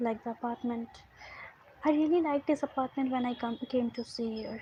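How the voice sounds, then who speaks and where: A woman with an Indian accent speaks in a high pitch with fairly even intonation. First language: Hindi. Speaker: storyteller. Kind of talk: storytelling. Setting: livestream. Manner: halting.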